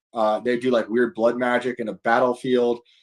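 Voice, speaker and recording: Speaking at a fairly quick pace, a man talks with a New York accent. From New York state, rural upstate. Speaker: author and comedian. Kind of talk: casual chat. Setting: live stream podcast.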